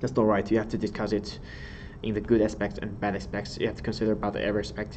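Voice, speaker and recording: In a room with audible echo, a man speaks with a Chinese accent, vocal fry, a fairly low pitch and ordinary pitch variation. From China. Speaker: exam tutor. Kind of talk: lecture. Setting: live stream.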